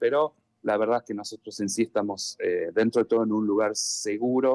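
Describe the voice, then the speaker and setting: A man in an Argentine accent at a moderate pace. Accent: Argentine Spanish (voseo). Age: 40s. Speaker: NGO volunteer. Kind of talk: live news interview.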